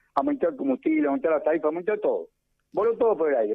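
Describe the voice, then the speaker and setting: A man talking at a very fast pace. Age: 70s. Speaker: economist. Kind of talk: radio interview.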